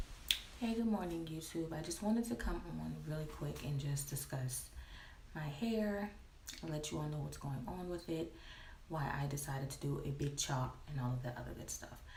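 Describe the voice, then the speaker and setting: Quiet and very deep, a woman's voice moves at a moderate pace with lively intonation, with audible room echo and noticeable background noise. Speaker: hair vlogger, cosmetologist. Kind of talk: casual vlog. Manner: quiet, hushed.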